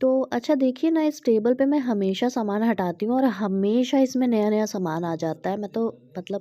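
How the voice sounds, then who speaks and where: A woman speaks with a dark, mellow tone and a fairly high pitch. Her pitch varies in an ordinary way. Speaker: vlogger. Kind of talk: casual vlog talk. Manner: hesitant with many fillers.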